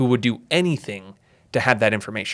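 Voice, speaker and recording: Over a very clean recording with a silent background, a man with a plain, everyday voice talks at a moderate pace and medium pitch. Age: 20s. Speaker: writing entrepreneur and creator. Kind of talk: casual chat. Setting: in person in Scottsdale.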